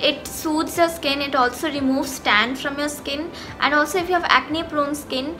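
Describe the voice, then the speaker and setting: In a raised, projected voice, a woman speaks with fairly even intonation over light background noise. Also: moderate pace. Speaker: beauty vlogger. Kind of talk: tutorial. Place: home room. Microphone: phone near.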